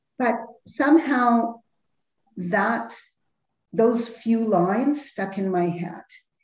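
A woman with a fairly high pitch speaks at a very slow pace with long, frequent pauses and ordinary pitch variation. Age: 50s. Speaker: health and nutrition counselor. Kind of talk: interview. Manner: halting.

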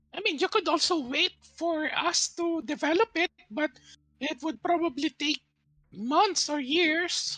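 A put-on character voice carries the speech. It moves rather slowly. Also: man, extremely high pitch for a man. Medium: actual play. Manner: calm, matter-of-fact.

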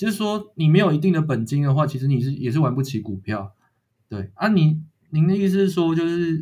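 A man's somewhat breathy, fairly high voice at a moderate pace, with lively intonation. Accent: Taiwanese. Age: 20s. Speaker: power company employee and amateur investor. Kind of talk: casual chat.

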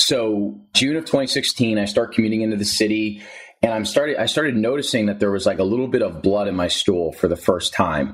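A man with an American accent talks at a fairly quick pace in an ordinary speaking voice. His pitch is fairly low and his intonation is lively. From New Jersey. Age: 20s. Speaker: podcast host and health advocate. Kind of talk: casual interview.

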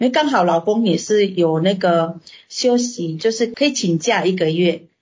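A somewhat breathy woman's voice at a medium pitch and a fairly slow pace. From Indonesia. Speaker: restaurant owner and translator. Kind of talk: interview. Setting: video call. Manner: halting.

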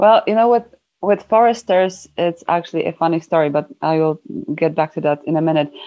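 A woman talks fairly quickly in a fairly low voice whose pitch varies an ordinary amount. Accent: Polish. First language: Polish. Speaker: environmental campaigner. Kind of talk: casual interview chat.

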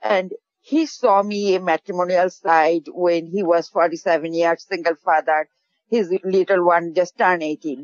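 A woman talks at a fairly slow pace in a Bangladeshi accent. Her pitch is fairly low. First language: Bengali. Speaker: caller. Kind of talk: casual chat. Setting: phone call.

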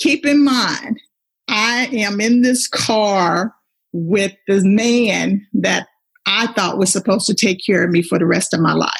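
Somewhat breathy, a woman talks at a fairly slow pace and medium pitch, keeping very even loudness and ordinary pitch variation. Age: 50s. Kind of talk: faith testimony.

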